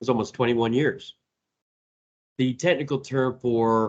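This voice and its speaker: A man speaks at a medium pitch with an Indiana accent. His intonation is monotone and flat. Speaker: database trainer and presenter. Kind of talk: technical presentation. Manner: casual, with filler words.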